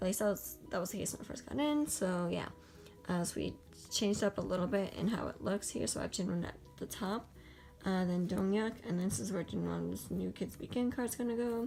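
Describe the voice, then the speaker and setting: A woman talking at a fairly quick pace over music in the background. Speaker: kpop collector youtuber. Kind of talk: casual show-and-tell vlog. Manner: fast, rambling with fillers.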